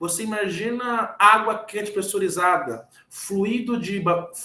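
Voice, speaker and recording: Using a raised, projected voice, a man speaks at a very slow pace. His pitch is high, with ordinary pitch variation. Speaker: engineer giving a lecture. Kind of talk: lecture. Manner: halting, repeats words.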